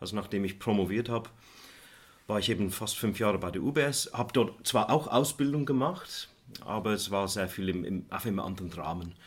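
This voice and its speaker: A man speaks at a moderate pace in a fairly low pitch, with ordinary pitch variation. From England, near Manchester; teenage years onward in Switzerland. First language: English (speaking German). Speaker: economics professor. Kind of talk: interview.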